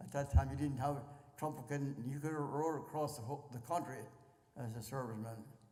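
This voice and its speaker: Amid noticeable background noise and audible room echo, a man with a Pennsylvania accent talks at a fairly high pitch and fairly quick pace, his intonation fairly even. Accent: Pennsylvania American. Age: 90s. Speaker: war veteran. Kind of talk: interview. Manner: halting.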